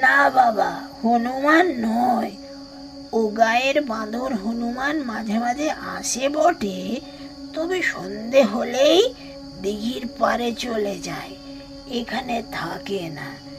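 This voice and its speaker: A woman puts on a character voice, pitched high and speaking very slowly, with lively intonation, big swings in loudness and clear background noise. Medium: read story. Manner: earnest, simple village speech.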